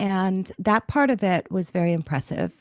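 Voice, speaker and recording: In an ordinary speaking voice, a woman talks at a fairly slow pace with medium pitch and ordinary pitch variation, the sound dry and close with no echo. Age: 60s. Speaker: business owner selling her company. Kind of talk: testimonial interview. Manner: conversational with fillers.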